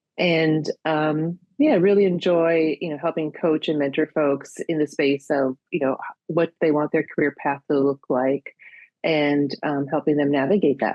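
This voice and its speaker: This woman's voice is very deep and low in pitch, with fairly even intonation and a fairly slow pace. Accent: slight Minnesota. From US Midwest, Minnesota. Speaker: career coach. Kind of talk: interview. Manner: many filler words.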